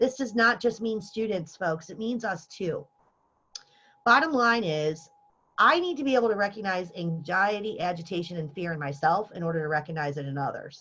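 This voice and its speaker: Bright and sharp in tone, a woman speaks with lively intonation. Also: medium pitch for a woman. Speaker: workshop presenter for faculty. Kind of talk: lecture. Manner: fast.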